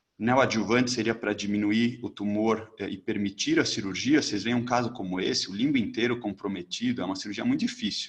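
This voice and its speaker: A man of medium pitch talks at a fairly quick pace with fairly even intonation and hardly any pauses. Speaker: ophthalmologist, ocular oncology lecturer. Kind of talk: lecture. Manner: fast.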